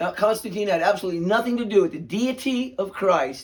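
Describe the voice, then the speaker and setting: A man's voice with ordinary pitch variation on a very clean recording with a silent background. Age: 60s. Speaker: channel owner commenting on news videos. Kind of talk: casual reaction commentary. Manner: halting, with stammers and fillers.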